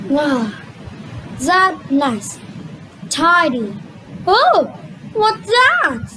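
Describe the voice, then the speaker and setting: A female-sounding cartoonish character voice, high in pitch with very wide pitch swings, moves at a very slow pace with long, frequent pauses over clear background noise. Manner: prim and bossy.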